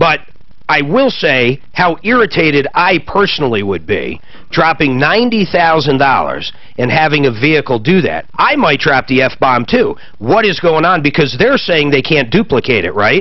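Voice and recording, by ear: At a moderate pace, a man speaks at a fairly high pitch with big pitch swings.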